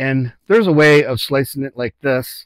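Fairly even intonation in a dry sound with no echo and a quiet background. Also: man. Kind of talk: tutorial. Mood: relaxed, joking. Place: kitchen. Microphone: lapel.

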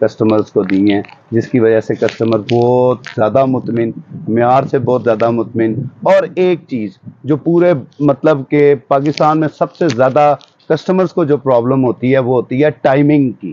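A man speaks at a medium pitch with ordinary pitch variation. His tone is dark and mellow, and the sound is dry with no echo. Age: 40s. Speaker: shopkeeper. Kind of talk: interview and product showcase. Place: shop. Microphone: lapel.

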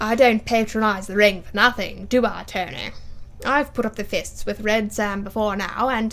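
An unforced reading voice is what you hear.

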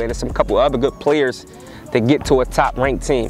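Faint background noise sits behind a man speaking at medium pitch and a moderate pace with fairly even intonation.

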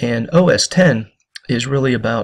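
A man with ordinary pitch variation. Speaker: history teacher. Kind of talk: lecture. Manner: quiet, soft-spoken; hesitant, many fillers.

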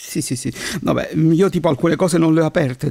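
Very fast and with ordinary pitch variation, a man speaks in a dry, close sound with no echo. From Sicily (Palermo). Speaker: aspiring voice-over artist, chemist. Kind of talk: casual interview. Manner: halting.

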